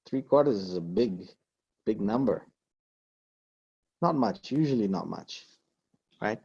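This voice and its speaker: A man speaks at medium pitch with lively intonation. The sound is dry and close, with no echo. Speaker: Quran and Arabic teacher. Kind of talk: online lecture. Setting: video call. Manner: fast; animated.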